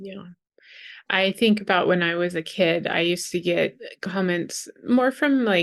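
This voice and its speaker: A woman with a medium pitch speaks at a fairly slow pace in a calm tone with ordinary pitch variation. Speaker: podcast host and therapist. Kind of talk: interview.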